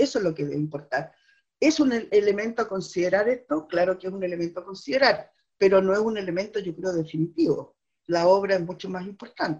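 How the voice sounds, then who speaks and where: A woman speaks at a fairly quick pace in a normal speaking voice, her medium pitch carried by lively intonation. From southern Chile. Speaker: poet and teacher. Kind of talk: interview. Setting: remote from home.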